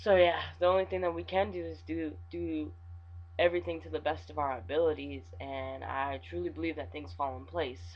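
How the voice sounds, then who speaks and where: A somewhat breathy man with very deep, low pitch and very wide pitch swings at a moderate pace. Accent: American. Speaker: vlogger. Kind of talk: video diary. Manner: halting; kept lower than usual.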